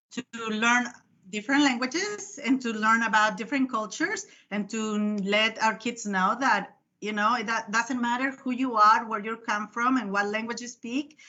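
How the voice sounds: A woman's voice has a bright, sharp tone and ordinary pitch variation.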